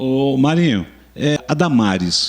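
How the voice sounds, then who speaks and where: A man's voice with lively intonation over music in the background. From São Paulo, Brazil. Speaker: online news channel host. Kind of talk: interview.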